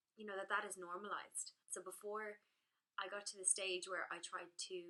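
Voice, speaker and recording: In an Irish accent, a woman talks at a fairly quick pace. Her tone is bright and sharp. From Ireland. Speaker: blogger. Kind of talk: direct-to-camera talk.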